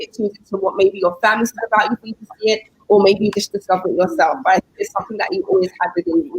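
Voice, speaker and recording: A woman with a British accent speaks at a very fast pace and fairly high pitch with ordinary pitch variation, in a dry, close sound with no echo. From London, England. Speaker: guest panelist. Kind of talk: casual chat.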